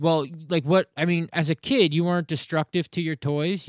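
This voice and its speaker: This man speaks in an unremarkable speaking voice, fairly high in pitch, at a moderate pace with fairly even intonation. The recording is very clean and dry, close with no echo and a silent background. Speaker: comedian. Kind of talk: casual chat.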